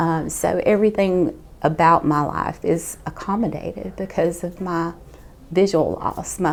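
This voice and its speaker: A woman with a Southern US accent, over noticeable background noise. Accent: Southern US (Georgia). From Georgia, US South. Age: 50s. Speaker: nurse and patient. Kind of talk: testimony.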